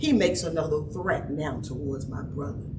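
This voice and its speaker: A woman talks in an animated tone with very wide pitch swings. Noticeable background noise and audible room echo surround her. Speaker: trauma expert speaker. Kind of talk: conference talk. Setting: stage with audience. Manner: loud.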